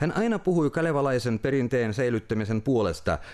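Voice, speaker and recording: With a normal speaking voice at medium pitch, a man talks at a moderate pace with lively intonation against a quiet background. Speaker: news presenter. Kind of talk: news reading. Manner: formal.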